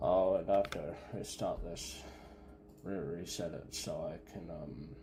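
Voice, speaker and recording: A man talks at a fairly slow pace, his loudness swinging widely. Noticeable background noise sits behind him. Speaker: gaming streamer. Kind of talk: let's play commentary. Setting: live stream. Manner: halting, many fillers; slurred-sounding.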